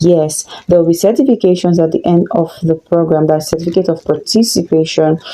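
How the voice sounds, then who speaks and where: A woman's fairly low voice at a fairly quick pace, with hardly any pauses, very even loudness and ordinary pitch variation, over noticeable background noise. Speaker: relationship coach. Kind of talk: online course introduction.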